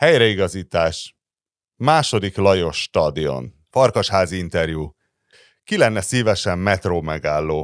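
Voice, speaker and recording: Over a quiet background, a man talks fairly slowly in a very deep, low voice with vocal fry and very wide pitch swings. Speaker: podcast host. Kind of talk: casual chat.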